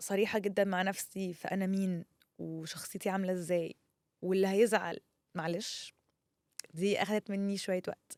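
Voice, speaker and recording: A woman with a medium-pitched voice talks at a fairly slow pace, in a dry, close sound with no echo. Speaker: content creator. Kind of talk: personal monologue. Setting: studio. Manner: loud; halting.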